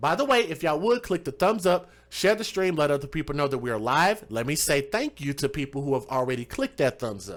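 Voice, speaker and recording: Talking at a fairly quick pace, a man with a Southern US accent makes very wide pitch swings. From US South. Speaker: true crime livestream host. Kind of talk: live stream commentary.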